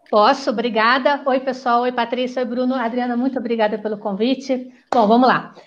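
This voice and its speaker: Speaking at a fairly quick pace, a woman holds a high pitch with monotone, flat intonation. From Rio de Janeiro, Brazil. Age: 50s. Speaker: psychologist and political candidate. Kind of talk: panel discussion.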